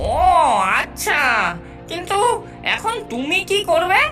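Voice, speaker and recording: A cartoonish character voice with an extremely high pitch plays over clear music in the background. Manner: excitable, repetitive, fawning.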